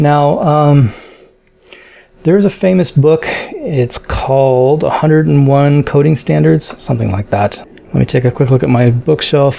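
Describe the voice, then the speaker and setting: Noticeable background noise runs behind a man with a fairly high voice. He talks at a fairly slow pace with ordinary pitch variation. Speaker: programming tutorial creator. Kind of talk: tutorial. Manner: hesitant, many fillers.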